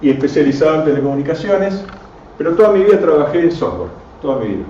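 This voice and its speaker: Over noticeable background noise and audible room echo, a man with an Argentine accent talks at a very fast pace in a fairly high voice with ordinary pitch variation. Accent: Rioplatense Argentine Spanish. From Argentina, Buenos Aires and Córdoba. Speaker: radio amateur and engineer giving a talk. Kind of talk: technical lecture to a live audience. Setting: club venue with audience.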